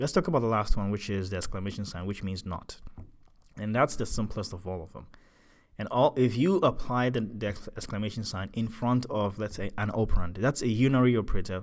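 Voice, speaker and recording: On a very clean recording with a silent background, a man talks at a fairly quick pace with a fairly low pitch, ordinary pitch variation and big swings in loudness. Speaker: programming tutor. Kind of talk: tutorial. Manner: fast; halting, repeats words.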